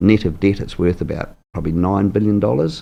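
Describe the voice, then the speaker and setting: A man with a New Zealand accent talks very fast. His pitch is very deep and low, his tone dark and mellow. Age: 60s. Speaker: mayoral candidate. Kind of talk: interview.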